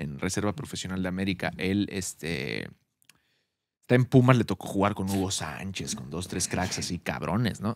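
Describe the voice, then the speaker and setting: With vocal fry and a very deep, low pitch, a man speaks at a moderate pace in a dry recording with no echo and a quiet background. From Mexico City. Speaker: podcast host; podcast co-host. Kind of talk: casual chat. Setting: at a home. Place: studio. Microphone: studio mic.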